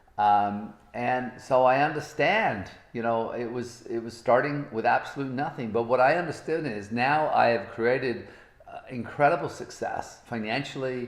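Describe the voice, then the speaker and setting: A man at medium pitch and moderate pace, with ordinary pitch variation, audible room echo and noticeable background noise. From Britain. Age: 60s. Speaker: motivational speaker. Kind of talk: motivational talk. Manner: animated.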